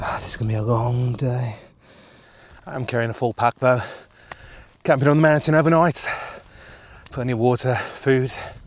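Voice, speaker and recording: The speech moves at a fairly quick pace with fairly even intonation. Noticeable background noise runs beneath it. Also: man. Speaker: hiking vlogger. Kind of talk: casual vlog talk. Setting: outdoors on a mountain hike.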